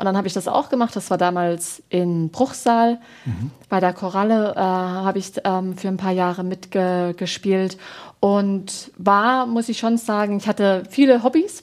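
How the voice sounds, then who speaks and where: On a very clean recording with a silent background, a woman speaks at a medium pitch. She talks at a fairly slow pace with ordinary pitch variation. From Baden, southwest Germany. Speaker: parish pastoral worker and former actress. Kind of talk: interview. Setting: TV studio. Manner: hesitant, frequent fillers.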